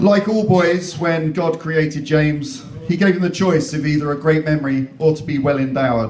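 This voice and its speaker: A man with an English accent speaks at a moderate pace with hardly any pauses, his fairly high voice showing ordinary pitch variation. Noticeable background noise and audible room echo surround him. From England. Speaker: wedding MC. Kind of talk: wedding speech. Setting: stage with audience.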